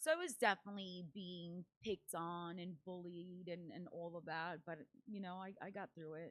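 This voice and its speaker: In a Spanish accent, a woman speaks at a moderate pace with a fairly low pitch and monotone, flat intonation. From Paraguay. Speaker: event MC, dancer and entrepreneur. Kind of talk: podcast interview.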